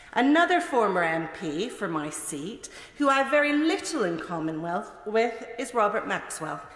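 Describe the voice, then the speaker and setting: A woman's fairly high voice with very wide pitch swings and a Mid-Atlantic accent, at a moderate pace, amid noticeable background noise and audible room echo. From Canada. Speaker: politician. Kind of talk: parliamentary speech. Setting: parliament chamber. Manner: formal.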